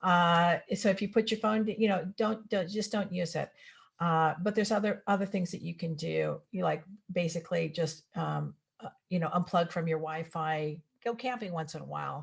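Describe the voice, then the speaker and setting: A woman with a fairly low pitch and ordinary pitch variation speaks with vocal fry. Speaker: health educator. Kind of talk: presentation. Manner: fast.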